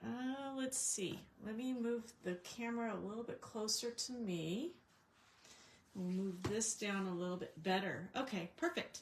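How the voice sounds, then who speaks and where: A somewhat breathy woman at a fairly high pitch, with lively intonation and a fairly slow pace. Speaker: craft demonstrator. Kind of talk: live craft tutorial stream. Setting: livestream from home craft desk. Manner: hesitant, many fillers; quiet, slightly mumbling. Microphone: possible echo, low volume.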